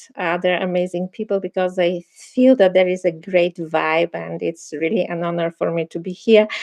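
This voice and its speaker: In a Bulgarian accent, a woman speaks at medium pitch and a moderate pace, the sound dry and close with no echo. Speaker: meditation teacher and film producer. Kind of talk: casual chat.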